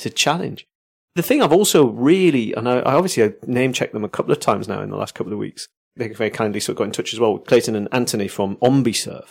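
Talking very fast with lively intonation and vocal fry, the voice sits on a very clean recording with a silent background. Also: man. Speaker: podcast co-host. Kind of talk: casual chat.

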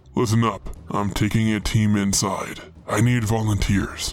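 Using a put-on character voice, a man talks at a moderate pace with fairly low pitch. Background noise is clearly audible. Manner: angry, defiant, commanding.

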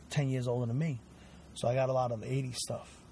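With a Brooklyn accent, a man talks at medium pitch in a somewhat breathy voice with a dark, mellow tone. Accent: New York (Brooklyn). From Brooklyn, New York (Bensonhurst). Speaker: guest, hardcore music fan. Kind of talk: casual chat. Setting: in a car.

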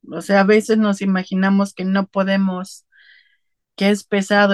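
A woman speaks at a moderate pace and medium pitch in a normal speaking voice, with a dry, close sound and no echo. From Puebla, Mexico. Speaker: migrant mother. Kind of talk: interview testimony.

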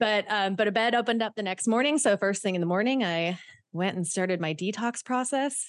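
A woman talks at a fairly quick pace with medium pitch and ordinary pitch variation. It is a normal speaking voice, recorded against a quiet background. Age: 30s. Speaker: human trafficking survivor and author. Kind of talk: interview.

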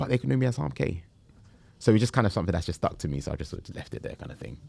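A man with a South London accent speaks in a very deep, low pitch with vocal fry. The recording is very clean, with a silent background. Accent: South London English, Multicultural London. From Southeast London. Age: 30s. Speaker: entrepreneur. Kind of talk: casual interview. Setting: in-person studio.

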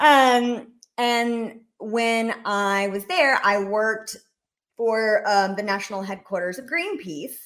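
The speaker has an American accent and talks at a very slow pace. Pitch variation is ordinary. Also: woman, fairly high pitch for a woman. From US South, Rome, Georgia. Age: 30s. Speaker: comedy sketch creator. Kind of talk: casual chat.

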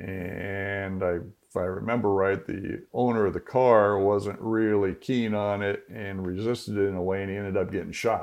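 An unremarkable speaking voice from a man with an American accent, fairly low in pitch, at a moderate pace with fairly even intonation and hardly any pauses. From US Southwest (Phoenix, Arizona). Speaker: retired homicide detective. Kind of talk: interview.

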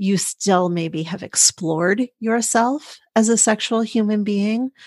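Using an unremarkable speaking voice, a woman speaks at a fairly slow pace and medium pitch, the sound dry and close with no echo against a quiet background. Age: 40s. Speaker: sex and intimacy coach, podcast host. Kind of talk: interview conversation.

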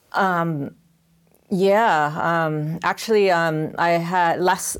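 A woman with a Californian accent talks in a fairly low pitch with fairly even intonation, in a very clean recording with a silent background. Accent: Californian American. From Los Angeles. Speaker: research-based artist. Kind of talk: panel discussion. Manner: halting, many fillers and repetitions.

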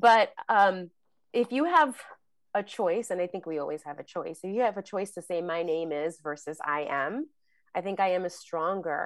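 In a very clean recording with a silent background, a woman with an unremarkable speaking voice talks at a moderate pace and fairly low pitch, with ordinary pitch variation. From New York, the Bronx. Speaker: actress and acting coach. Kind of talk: casual chat.

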